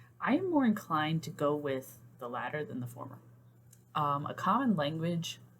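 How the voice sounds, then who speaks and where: A woman with an American accent, a very deep, low pitch, lively intonation, big swings in loudness and a somewhat breathy sound. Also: moderate pace. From US South. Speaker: therapist and writer vlogger. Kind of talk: casual vlog talk. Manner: hesitant, many fillers.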